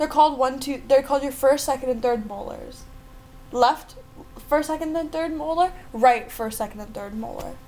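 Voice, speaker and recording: Over music in the background, a woman with a high pitch talks at a moderate pace, using ordinary pitch variation and big swings in loudness. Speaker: podcast co-host. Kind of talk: casual chat.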